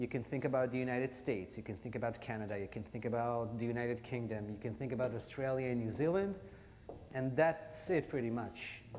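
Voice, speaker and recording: In an American accent, someone speaks at a very fast pace with ordinary pitch variation. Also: man, medium pitch for a man. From Israel, Haifa. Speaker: photographer and storyteller. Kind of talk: public talk.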